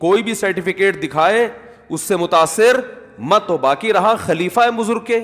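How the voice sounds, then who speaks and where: Against noticeable background noise, a man talks at a high pitch with ordinary pitch variation. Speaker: Islamic scholar (mufti) giving a religious talk. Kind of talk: religious lecture, answering a question.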